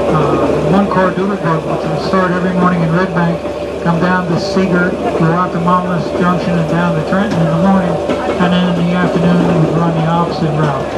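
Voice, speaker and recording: The speaker moves at a fairly quick pace. Loud background noise runs underneath. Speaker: tourist railroad tour guide. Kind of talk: guided tour commentary. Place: train.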